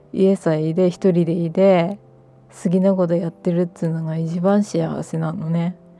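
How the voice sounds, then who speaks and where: Speaking with a Miyagi accent, a woman uses a fairly low pitch and monotone, flat intonation at a moderate pace. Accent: Miyagi (Sendai-area Tohoku) dialect. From Miyagi Prefecture, Japan. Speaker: podcaster. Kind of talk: casual monologue. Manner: unscripted, meandering.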